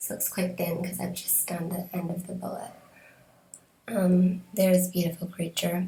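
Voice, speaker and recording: A woman speaks at a moderate pace in a dark, mellow tone that is somewhat breathy, her intonation flat and monotone. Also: medium pitch for a woman. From Canada. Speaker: beauty vlogger. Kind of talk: product review. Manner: halting, many fillers.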